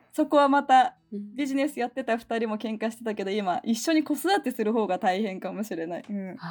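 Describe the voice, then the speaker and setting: Fairly quick and fairly high-pitched, a woman speaks in an animated tone with lively intonation. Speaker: podcaster, mother. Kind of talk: casual chat.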